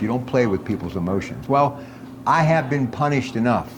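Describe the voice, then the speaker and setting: A man with an American accent, medium-pitched, talking at a fairly quick clip with ordinary pitch variation over noticeable background noise. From Pittsburgh area, US. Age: 60s. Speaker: radio host. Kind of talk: casual chat. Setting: on location at a restaurant.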